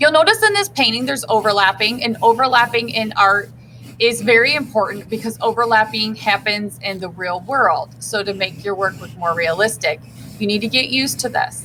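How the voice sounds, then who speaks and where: With an unremarkable speaking voice, a woman moves at a fairly quick pace, her pitch fairly high and varying in an ordinary way. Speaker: art teacher. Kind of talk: tutorial.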